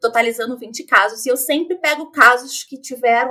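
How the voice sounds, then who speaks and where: This woman has a high-pitched voice with a bright, sharp tone, ordinary pitch variation and a Rio de Janeiro accent. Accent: Rio de Janeiro (carioca). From Rio de Janeiro, Brazil. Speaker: true crime podcaster. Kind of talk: casual chat.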